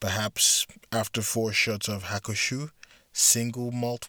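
Someone is reading aloud in a natural voice.

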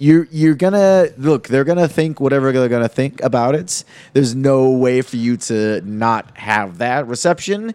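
A man with a plain, everyday voice at medium pitch talks at a moderate pace with lively intonation and hardly any pauses. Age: 30s. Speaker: comedy podcast host. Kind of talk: casual chat.

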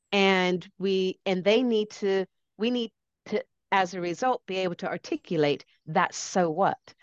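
With an American accent, a woman talks fairly slowly at a medium pitch, her pitch varying in an ordinary way. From US, lives in Britain. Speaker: change consultant and speaker. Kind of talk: interview conversation.

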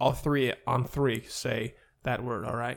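A man with an American accent, medium in pitch. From Ohio, US Midwest. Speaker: podcast host. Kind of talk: casual chat. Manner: loud.

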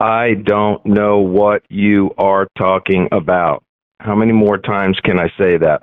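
Using a robotic put-on character voice, a man speaks at a fairly low pitch and a fairly slow pace. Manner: robotic, monotone.

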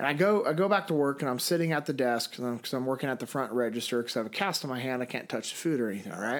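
A very fast-talking man with an American accent, fairly high pitch and ordinary pitch variation, in a very clean recording with a silent background. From US West, Sacramento, California. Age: 30s. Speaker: former Navy SEAL, leadership instructor and speaker. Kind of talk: interview conversation.

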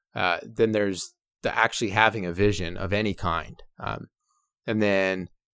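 With a Canadian accent and an ordinary speaking voice, a man talks at a moderate pace and fairly low pitch with fairly even intonation, the sound dry and close with no echo on a very clean recording with a silent background. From Canada. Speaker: adventure filmmaker. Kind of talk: interview conversation.

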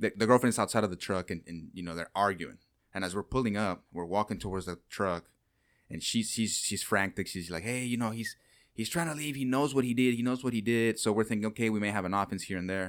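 The recording is very clean, with a silent background. A man with a fairly low pitch talks at a very fast pace with ordinary pitch variation. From Mexico. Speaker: police officer. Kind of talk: casual chat.

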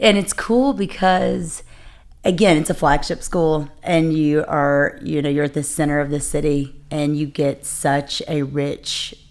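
On a very clean recording with a silent background, a woman with a very deep, low pitch talks at a fairly slow pace with ordinary pitch variation. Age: 40s. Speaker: assistant principal. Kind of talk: casual chat.

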